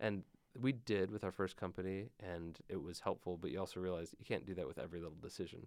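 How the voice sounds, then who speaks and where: A man's very deep, low voice with an Upper Midwest accent, very fast pace, and ordinary pitch variation. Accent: Upper Midwest American. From Michigan (Grand Rapids). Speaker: tech startup founder. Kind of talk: interview. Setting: studio.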